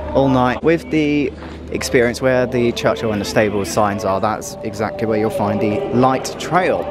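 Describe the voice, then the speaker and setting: A man talks at a moderate pace over clear background music, and the sound is dry with no echo. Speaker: travel vlogger. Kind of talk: casual vlog chat. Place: street. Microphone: phone near.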